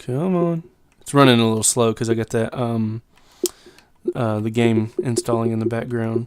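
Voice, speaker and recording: A man's medium-pitched speech at a moderate pace, with ordinary pitch variation and long, frequent pauses. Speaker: gaming YouTuber. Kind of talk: tutorial. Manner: halting, many fillers; casual.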